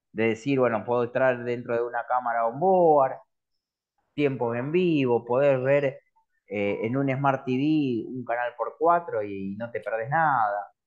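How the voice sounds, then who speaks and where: A man's normal speaking voice at a medium pitch, with ordinary pitch variation and a fairly slow pace. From Córdoba, Argentina. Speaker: streaming company representative. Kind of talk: interview.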